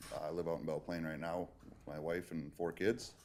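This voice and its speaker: The speaker talks with fairly even intonation in a Minnesota accent. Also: man. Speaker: public works utilities worker. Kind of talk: self-introduction.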